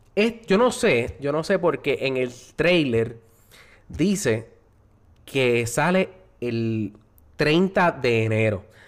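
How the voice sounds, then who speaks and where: The recording is very clean, with a silent background. A man speaks at a very slow pace with lively intonation. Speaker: podcast host. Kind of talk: casual chat. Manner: animated.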